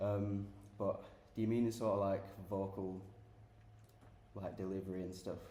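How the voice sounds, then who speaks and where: In a room with audible echo, a man with a Sheffield accent speaks at a moderate pace and a fairly low pitch, his intonation flat and monotone and his pauses long and frequent. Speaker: rock band guitarist and singer. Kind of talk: casual interview chat. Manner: hesitant, many fillers.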